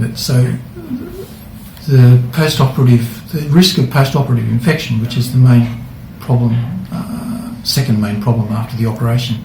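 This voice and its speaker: A man speaks with an Australian accent and fairly even intonation over noticeable background noise. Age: 60s. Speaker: hip replacement patient. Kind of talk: patient testimonial interview. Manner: casual, hesitant.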